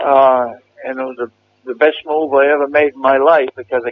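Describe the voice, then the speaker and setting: A man speaks with an American accent at medium pitch. His intonation is monotone and flat. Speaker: war veteran. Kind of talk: oral history interview answer, recalling war experiences.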